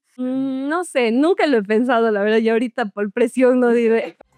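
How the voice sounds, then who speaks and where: In a southern Ecuadorian accent, a woman speaks at a moderate pace and a fairly high pitch, with ordinary pitch variation and a dry, close sound with no echo. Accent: Cuenca-like southern Ecuadorian. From Ecuador, Azogues (southern highlands). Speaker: beauty queen. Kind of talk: podcast interview.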